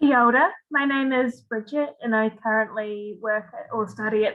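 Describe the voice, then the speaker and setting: A woman with a New Zealand accent speaks at a moderate pace and a fairly high pitch. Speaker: PhD student, freshwater ecologist. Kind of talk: panel self-introduction. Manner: enthusiastic.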